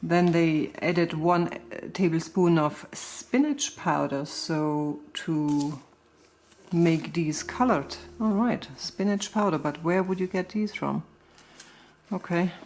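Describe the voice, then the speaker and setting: At a very slow pace, a woman with a German accent speaks in a fairly low voice with ordinary pitch variation. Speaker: gardening and crafts vlogger. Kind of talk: casual reading and explaining recipes. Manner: halting, searching for words.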